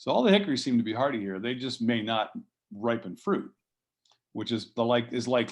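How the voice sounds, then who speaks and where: In a normal speaking voice of medium pitch, a man talks at a fairly quick pace with an American accent and ordinary pitch variation. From US Northeast (southeastern Pennsylvania). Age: 60s. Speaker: fruit nursery grower. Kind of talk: conference talk, interview conversation.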